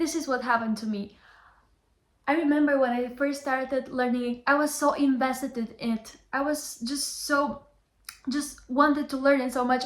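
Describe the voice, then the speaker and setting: Delivered at a moderate pace in a Bulgarian accent, the voice holds a monotone, flat intonation. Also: woman, high pitch for a woman. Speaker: language teacher. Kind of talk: motivational talk to camera.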